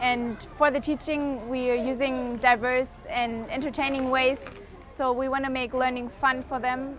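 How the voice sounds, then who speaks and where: The speaker has a German accent and monotone, flat intonation. Noticeable background noise runs underneath. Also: woman. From Germany. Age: 20s. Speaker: volunteer. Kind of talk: documentary interview.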